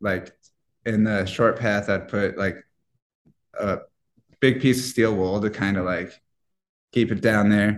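A man with a fairly low voice speaks at a fairly slow pace with fairly even intonation. He leaves long, frequent pauses. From US Midwest, Iowa. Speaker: cannabis extraction expert. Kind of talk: casual interview. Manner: halting, many fillers.

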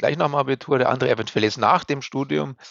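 Here a man talks at medium pitch with lively intonation. Vocal fry colors his voice. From Upper Bavaria, Germany. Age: 50s. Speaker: elevator company managing director. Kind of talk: interview.

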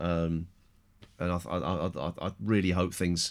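A man with an English accent is heard in a very clean recording with a silent background. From England. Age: middle-aged. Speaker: podcast host. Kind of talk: casual chat.

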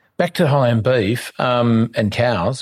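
Speaking with an Australian accent, a man talks at a medium pitch. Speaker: podcast host. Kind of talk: interview. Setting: guest's home. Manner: halting.

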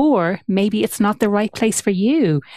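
Recorded very cleanly against a silent background, a woman with an Irish accent talks at a moderate pace and medium pitch, the sound dry and close with no echo. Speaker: podcast host. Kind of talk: interview; scripted narration.

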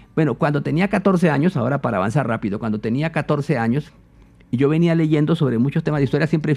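A man's fairly high, dark and mellow voice with lively intonation at a fairly quick pace. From Colombia, eastern plains (Meta). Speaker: philosopher and imam. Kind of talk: interview conversation.

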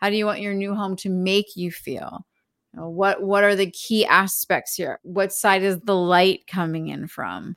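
A normal speaking voice with an American accent goes at a fairly slow pace in a dry, close sound with no echo, on a very clean recording with a silent background. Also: woman. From US Northeast, Philadelphia. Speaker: astrology and wellness entrepreneur. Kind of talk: casual interview chat.

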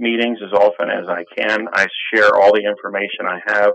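A man with an American accent, at a moderate pace. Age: 50s. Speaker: patient advocate. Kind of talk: interview. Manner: halting.

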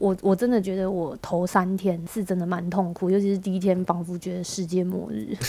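A plain, everyday voice belongs to this woman, who speaks at a medium pitch with fairly even intonation. Her pace is fairly quick, with hardly any pauses. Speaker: podcast host. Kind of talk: casual chat.

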